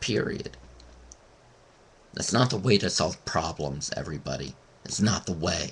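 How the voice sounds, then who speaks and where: In a very deep, low voice with vocal fry, a man speaks at a moderate pace with lively intonation and long, frequent pauses. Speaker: vlogger. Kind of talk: webcam rant. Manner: halting.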